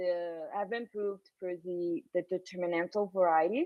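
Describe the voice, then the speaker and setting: A woman talks at a moderate pace in a plain, everyday voice. Her pitch is medium with ordinary variation. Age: young. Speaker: mathematician. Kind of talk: academic Q&A.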